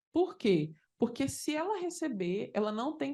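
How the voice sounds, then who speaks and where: The voice moves through very wide pitch swings. Its tone is animated. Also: woman. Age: 40s. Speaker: judge. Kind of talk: conference talk. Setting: conference panel with audience.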